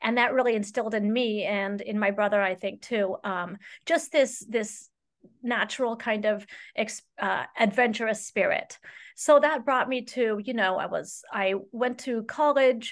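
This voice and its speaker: A woman with an unremarkable speaking voice speaks at a fairly slow pace. Her pitch sits fairly high, with ordinary pitch variation. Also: quiet background. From Saudi Arabia (American expat family). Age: 50s. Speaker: high school Spanish teacher and running coach. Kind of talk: casual interview.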